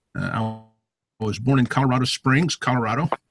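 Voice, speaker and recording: A man speaks with an American accent at a medium pitch and a moderate pace, somewhat breathy and with fairly even intonation. The sound is dry and close, with no echo. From US, military family moving around. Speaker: retired army officer, motorcyclist. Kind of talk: self-introduction talk to a club. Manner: many filler words (uh, um).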